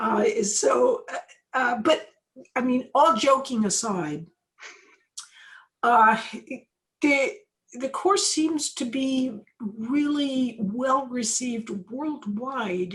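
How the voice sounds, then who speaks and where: A high-pitched woman with an American accent and long, frequent pauses. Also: lively intonation. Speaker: professor. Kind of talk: interview. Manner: moderate pace, not fast; hesitant, many fillers.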